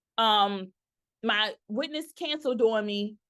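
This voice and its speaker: A woman speaks in an animated tone with an American accent. Her pitch varies in an ordinary way. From New York. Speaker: notary signing agent and business coach. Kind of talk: tutorial. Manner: fast.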